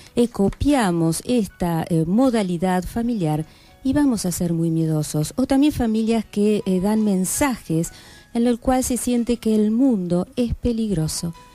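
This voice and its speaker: Over music in the background, a woman speaks at a fairly slow pace, her fairly high pitch moving in lively intonation. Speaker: clinical psychologist, guest on a radio health program. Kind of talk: radio interview answer explaining psychology to listeners.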